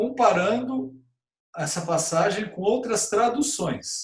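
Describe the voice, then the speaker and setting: Speaking at a fairly slow pace, a man with a high pitch swings his pitch very widely. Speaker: pastor and Bible teacher. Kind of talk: Bible study lesson. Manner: casual, conversational with fillers.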